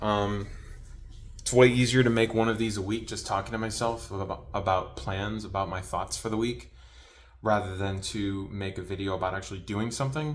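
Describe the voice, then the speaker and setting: There is audible room echo around this man's fairly low voice. He keeps a moderate pace with ordinary pitch variation. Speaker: YouTuber, hobby prop maker. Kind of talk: casual vlog monologue. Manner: stuttering, halting.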